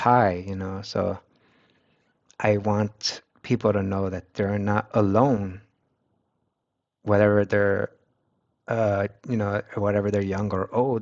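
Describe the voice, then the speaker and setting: Speaking with a Spanish accent, a man has a fairly low pitch and monotone, flat intonation. His pace is very slow, with long, frequent pauses. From United States, Mexican-American family. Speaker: streamer. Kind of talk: casual chat. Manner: halting, with many restarts.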